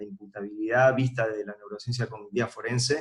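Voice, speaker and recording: A man of medium pitch speaks with an Argentine accent. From Argentina. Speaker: forensic psychology expert. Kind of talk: recorded lecture. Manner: hesitant with filler words.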